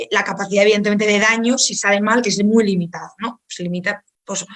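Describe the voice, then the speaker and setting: A woman speaks in a Spanish accent at medium pitch. Her pace is fairly quick. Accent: Peninsular Spanish. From Spain. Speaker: think tank speaker. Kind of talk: online lecture. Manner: fast; halting, many repetitions.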